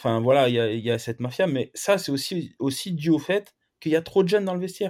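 A man is speaking. His intonation is lively. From Lyon, France. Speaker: football coach, former pro player. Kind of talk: podcast interview. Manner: halting.

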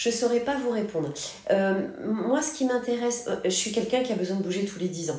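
A woman with a fairly high pitch and lively intonation at a fairly quick pace, with audible room echo and noticeable background noise. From Paris, France. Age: 40s. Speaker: company founder. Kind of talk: interview. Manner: energetic.

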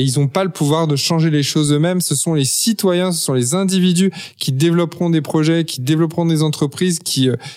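The man's fairly high voice shows ordinary pitch variation as he talks at a moderate pace. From Paris, France. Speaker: entrepreneur and author. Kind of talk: interview. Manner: hesitant, many fillers and repetitions.

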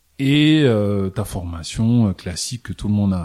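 Noticeable background noise sits behind a man whose fairly low pitch shows ordinary variation. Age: 30s. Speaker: entrepreneur. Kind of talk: interview. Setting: office.

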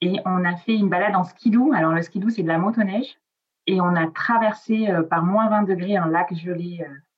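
A woman with an Italian accent speaks at a moderate pace with ordinary pitch variation. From Nice, southern France. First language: Italian (speaking French). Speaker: travel blogger. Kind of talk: casual interview. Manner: hesitant, many fillers.

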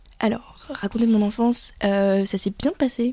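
A woman with a dark, mellow tone and fairly even intonation. The sound is dry and close with no echo, on a very clean recording with a silent background. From France, Paris. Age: 20s. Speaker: university student. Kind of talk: testimony. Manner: hesitant, many fillers.

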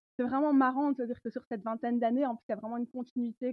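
A high-pitched woman at a very fast pace. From Belgium, countryside. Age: 30s. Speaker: tarot reader and feminist historian. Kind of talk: interview.

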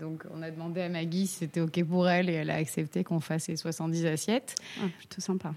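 A woman with a normal speaking voice talks at a moderate pace, her pitch fairly low. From Corsica. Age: 30s. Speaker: ceramicist. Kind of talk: casual chat.

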